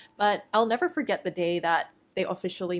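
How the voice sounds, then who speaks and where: A woman with a Cantonese accent speaks at a fairly low pitch with fairly even intonation on a very clean recording with a silent background. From US, Chinese American family. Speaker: artist YouTuber. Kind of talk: casual voiceover storytelling while drawing.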